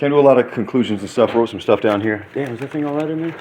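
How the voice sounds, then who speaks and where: A man talking at a very fast pace with lively intonation over noticeable background noise. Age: 30s. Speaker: vlogger, former prisoner. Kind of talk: casual monologue vlog. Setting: hotel room. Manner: animated.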